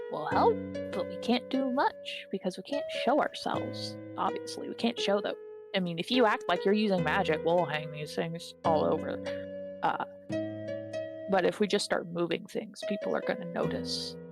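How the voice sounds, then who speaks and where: A raspy put-on character voice speaks at a moderate pace with clear music in the background. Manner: mischievous.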